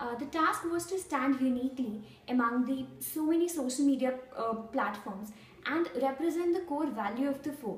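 With an Indian accent, a woman speaks at a moderate pace in a high voice with lively intonation, and the room echo is audible. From India, New Delhi. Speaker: intern. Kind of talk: testimony. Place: office. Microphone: camera far.

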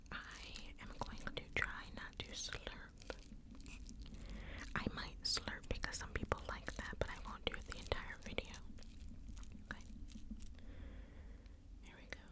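The delivery is fairly slow, broken by long, frequent pauses. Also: woman. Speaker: ASMR creator. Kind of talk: ASMR mukbang eating video, casual talk to camera. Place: home room. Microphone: studio mic.

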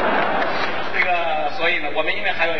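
Noticeable background noise is present throughout. A man talks over it at a moderate pace. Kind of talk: stage introduction to audience. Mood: cheerful, smiling. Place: stage.

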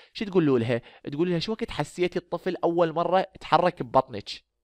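Lively intonation runs through very fast speech in an Iraqi accent, heard dry and close with no echo over a quiet background. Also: man. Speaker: medical lecturer. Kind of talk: lecture.

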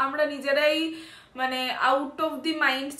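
A woman is speaking. Room echo is audible around her voice. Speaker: vlogger. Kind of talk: casual vlog chat. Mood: subdued, sharing family troubles. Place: home room. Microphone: phone near.

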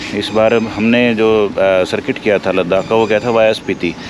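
A man speaks at a moderate pace with a fairly low pitch and fairly even intonation. The sound is dry with no echo, and background noise is noticeable. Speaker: travel vlogger. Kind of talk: casual vlog chat. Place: street. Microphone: phone near.

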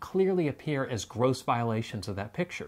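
A man speaks here. His pace is moderate. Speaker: co-host of a faith-based relationship show. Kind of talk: scripted educational explainer. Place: home room. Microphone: lapel.

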